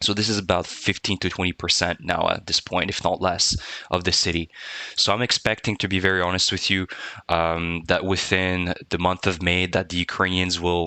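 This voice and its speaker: Speaking at a moderate pace, a man keeps his intonation monotone and flat. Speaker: war news commentator. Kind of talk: map briefing video commentary. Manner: hesitant, many fillers.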